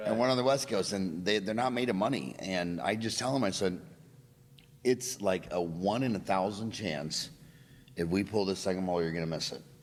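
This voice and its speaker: Fairly low in pitch, a man speaks in a plain, everyday voice at a moderate pace with ordinary pitch variation. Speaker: dentist, podcast host. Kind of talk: podcast interview.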